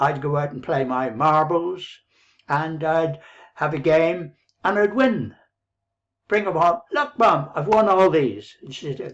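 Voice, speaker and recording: A man in an Irish accent, fairly high-pitched and lively in intonation, with long, frequent pauses over a quiet background. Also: fairly slow pace. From Ireland, near Dublin. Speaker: online business coach. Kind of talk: motivational talk to camera. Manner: rambling, conversational.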